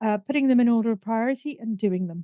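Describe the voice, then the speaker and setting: A woman speaks with a northern English accent at a fairly high pitch. Her tone is dark and mellow, in a dry, close sound with no echo. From northern England. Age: middle-aged. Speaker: business mentor and marketing coach. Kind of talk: podcast interview.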